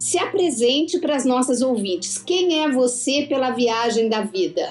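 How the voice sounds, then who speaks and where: Over music in the background, a woman talks at a fairly slow pace in a high pitch. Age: 60s. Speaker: podcast host. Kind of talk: interview.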